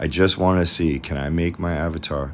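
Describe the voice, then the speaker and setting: A man's very deep, low voice at a fairly slow pace. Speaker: 3D designer. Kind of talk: tutorial. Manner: monotone.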